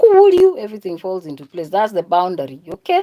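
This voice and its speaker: This voice carries an animated tone and speaks with a Kenyan accent. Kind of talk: religious monologue.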